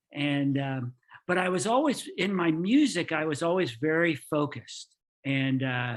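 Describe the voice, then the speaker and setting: Against a quiet background, a man with an American accent speaks at a high pitch with lively intonation. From New York, then Florida from age 14. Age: 60s. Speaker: engineer. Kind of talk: podcast interview.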